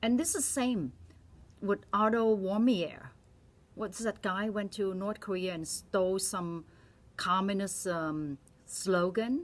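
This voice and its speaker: A woman with a Vietnamese accent at a medium pitch, with lively intonation and a fairly slow pace. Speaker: doctor. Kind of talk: opinion monologue. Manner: animated.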